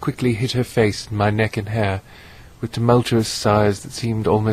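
An unforced reading voice runs through the recording.

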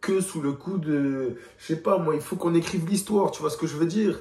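At a moderate pace, a man speaks with a fairly high pitch, ordinary pitch variation and a dark, mellow tone.

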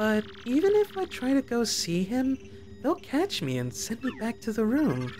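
A put-on character voice speaks at a moderate pace with fairly high pitch over clear background noise. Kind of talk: let's play dub of game text.

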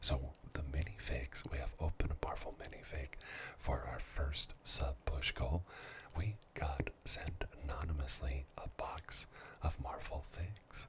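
A soft-spoken man with a relaxed tone and fairly slow pace, amid noticeable background noise. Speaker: ASMR livestream host. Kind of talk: casual live-stream chat with viewers. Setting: studio. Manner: soft-spoken, relaxed. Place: studio. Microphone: studio mic.

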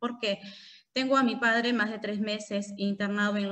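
Flat, monotone delivery at a moderate pace. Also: woman. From Peru. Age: 30s. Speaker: congressional candidate; candidate. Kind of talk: interview. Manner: halting, with many fillers. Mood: earnest, personal. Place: home room. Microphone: video call.

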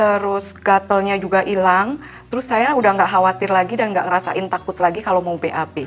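Ordinary pitch variation at a moderate pace. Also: woman. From Indonesia, Cilacap (Central Java); Central Java, Indonesia. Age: 40s. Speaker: product testimonial giver. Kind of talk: testimony; interview answer. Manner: casual, hesitant with fillers. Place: studio.

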